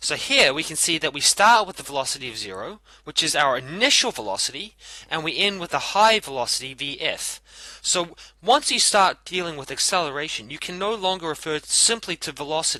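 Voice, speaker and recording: A man's fairly high, bright, sharp voice with vocal fry, very wide pitch swings, big swings in loudness and a fairly quick pace, against a quiet background. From New Zealand. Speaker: physics teacher. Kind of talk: tutorial.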